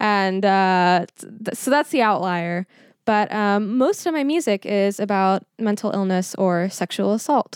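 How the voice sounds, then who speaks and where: A woman with an unremarkable speaking voice talks at a fairly slow pace with ordinary pitch variation and very even loudness, on a very clean recording with a silent background. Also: medium pitch for a woman. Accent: American. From Texas (Schertz, near San Antonio). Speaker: musician. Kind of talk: casual chat.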